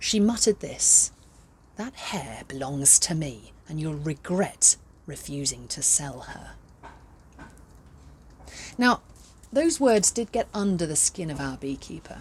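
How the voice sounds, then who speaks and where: Speaking at a very slow pace with vocal fry, a woman swings very widely in pitch and leaves long, frequent pauses. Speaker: professional storyteller. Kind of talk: children's storytelling. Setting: outdoors.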